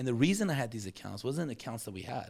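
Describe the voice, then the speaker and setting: Animated in tone, a man with an American accent swings his pitch very widely on a very clean recording with a silent background. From Iran (Tehran), came to US as child in late 1970s. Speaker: construction business development leader. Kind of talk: casual interview chat.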